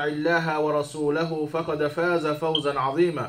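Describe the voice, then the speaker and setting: Flat, monotone intonation marks this man's speech. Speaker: preacher giving Friday sermon. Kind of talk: sermon. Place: church.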